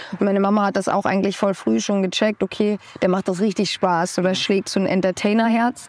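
An ordinary speaking voice at a fairly quick pace, with fairly even intonation and very even loudness. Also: woman, medium pitch for a woman. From Austria. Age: 20s. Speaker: singer-songwriter. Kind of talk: casual interview.

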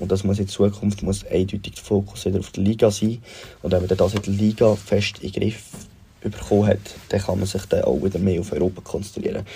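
Fairly quick and fairly low-pitched, the man's delivery stays monotone and flat. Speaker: football fan sending a voice message. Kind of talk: recorded voice message.

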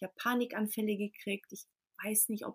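Somewhat breathy and fairly high, a woman's voice races at a very fast pace in a very clean recording with a silent background and a dry, close sound with no echo. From Portugal, near Lisbon, then Germany from age 4. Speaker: coach, women's circle leader. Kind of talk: podcast interview.

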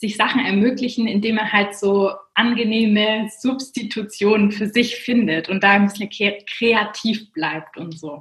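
Using a normal speaking voice, this woman has a fairly high pitch and ordinary pitch variation. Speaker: management consultant and finance blogger. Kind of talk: casual interview.

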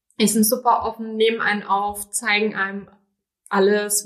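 Flat, monotone intonation carries this speech along at a moderate pace. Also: woman. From Rhineland-Palatinate, Germany. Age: 20s. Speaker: business trainee. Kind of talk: interview conversation.

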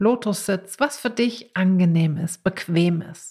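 A woman with a fairly low, somewhat breathy voice and a calm, soothing tone speaks with ordinary pitch variation on a very clean recording with a silent background. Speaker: podcast host and meditation teacher. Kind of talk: guided meditation. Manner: slow, calm, soothing; gentle, with long pauses.

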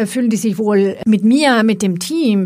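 Speaking with a Swedish accent, a woman uses a fairly high, somewhat breathy voice and lively intonation on a very clean recording with a silent background. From Sweden. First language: Swedish (speaking German). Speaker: IT executive. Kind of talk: podcast interview.

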